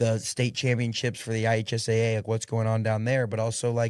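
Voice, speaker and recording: A man at a medium pitch and fairly quick pace, with a Midwestern American accent, in a very clean recording with a silent background. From Indiana. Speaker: podcast host. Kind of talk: casual interview conversation. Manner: fast; loud and animated.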